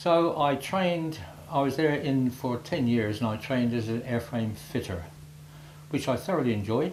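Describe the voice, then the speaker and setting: A man with lively intonation in a medium pitch at a moderate pace, over noticeable background noise. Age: 80s+. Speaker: war veteran. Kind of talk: talk to schoolchildren.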